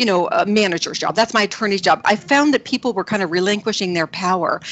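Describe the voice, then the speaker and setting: Amid noticeable background noise, a woman with a Canadian accent talks at a fairly quick pace, her medium pitch showing ordinary variation. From Canada, New Brunswick (Miramichi). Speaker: film producer. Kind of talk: interview. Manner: animated, chatty.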